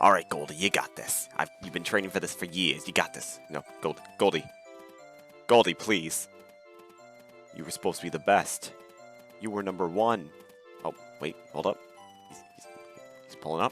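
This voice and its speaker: Over music in the background, a man with a very deep, low voice speaks at a moderate pace with ordinary pitch variation, big swings in loudness, and long, frequent pauses. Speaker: gaming video narrator. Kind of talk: scripted gameplay commentary.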